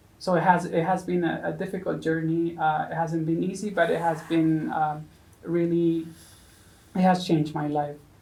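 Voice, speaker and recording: A woman with a Spanish accent speaks at a moderate pace in a dark, mellow tone, with fairly low pitch and fairly even intonation. Audible room echo surrounds her voice. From Mexico. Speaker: seminarian. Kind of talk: interview. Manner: halting, many fillers.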